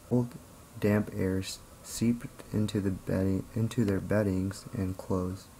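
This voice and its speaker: This man's pitch sits fairly low. He talks in a flat, monotone way. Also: fairly slow pace. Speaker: video creator reading a book aloud. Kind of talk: read-aloud of a children's picture book. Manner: steady, storyteller-like narration.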